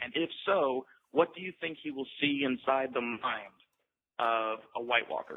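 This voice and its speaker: A man with a normal speaking voice and medium pitch talks fairly slowly. His pitch varies in an ordinary way. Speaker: voicemail caller.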